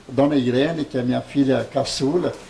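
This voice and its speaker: Noticeable background noise behind a man's fairly high-pitched voice at a moderate pace. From interior of São Paulo state, Brazil. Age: 70s. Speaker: elderly local resident. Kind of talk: oral history interview. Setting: at home.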